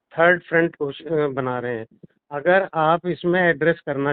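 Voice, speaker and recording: Fairly high pitch and ordinary pitch variation in a man's voice, an ordinary speaking voice. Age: 60s. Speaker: doctor and political organizer. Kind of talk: casual conversation.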